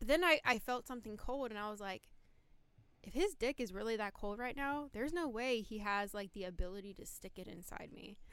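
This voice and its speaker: With a plain, everyday voice, a woman talks at a fairly quick pace, her intonation lively and her loudness swinging widely. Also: fairly high pitch for a woman. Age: 20s. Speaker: Navy veteran. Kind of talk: casual chat. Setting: studio.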